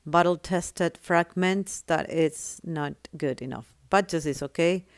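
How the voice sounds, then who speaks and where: A woman with a non-native accent and fairly even intonation is heard with a dry, close sound, no echo, on a very clean recording with a silent background. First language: not English. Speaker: gaming tutorial creator. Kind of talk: tutorial.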